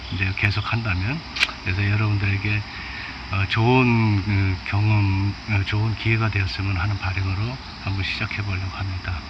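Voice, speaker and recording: Amid noticeable background noise and audible room echo, a man with a fairly low pitch delivers his words at a moderate pace in a monotone, flat intonation. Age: 50s. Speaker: professional bass angler. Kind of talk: casual talk to camera. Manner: halting, with many fillers; may stutter.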